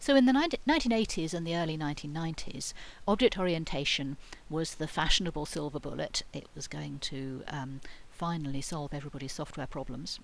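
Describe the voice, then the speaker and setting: A woman's very deep, low-pitched voice with a British accent, a fairly quick pace and ordinary pitch variation, with audible room echo. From Britain. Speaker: university lecturer. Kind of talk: lecture. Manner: hesitant, many fillers and false starts.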